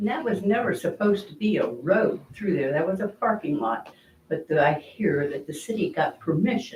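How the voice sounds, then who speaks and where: Somewhat breathy, a woman with an American accent speaks at a moderate pace with lively intonation. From Ohio, East Canton area. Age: 80s+. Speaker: resident speaking at council meeting. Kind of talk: public comment at council meeting. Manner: animated.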